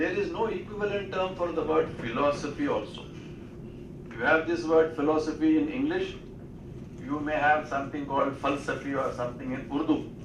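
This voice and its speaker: A man with an Indian accent talks at a fairly quick pace, his pitch fairly high and ordinarily varied. Room echo is audible and background noise is noticeable. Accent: Indian English (Telugu). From India (Telugu-speaking region). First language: Telugu. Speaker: speaker. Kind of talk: lecture.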